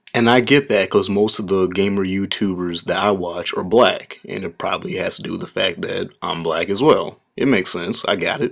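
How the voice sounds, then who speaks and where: With a strong Upper Midwest accent, the speaker moves at a moderate pace with hardly any pauses on a very clean recording with a silent background. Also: man. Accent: strong northern Midwest US. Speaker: gaming YouTuber. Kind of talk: casual response video. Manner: casual, filler-heavy.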